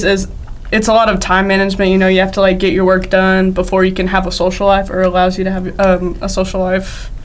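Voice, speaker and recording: A woman talks with an Arkansas accent, with audible room echo and noticeable background noise. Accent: Southern US (Arkansas). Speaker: college softball player. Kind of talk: casual interview.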